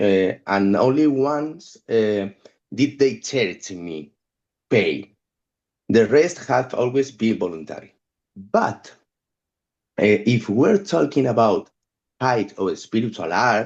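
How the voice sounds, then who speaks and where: With lively intonation, a man at medium pitch talks at a very slow pace, pausing long and often. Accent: non-native. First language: not English. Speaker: photographic artist and musician. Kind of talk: reading prepared text in group discussion. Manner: halting.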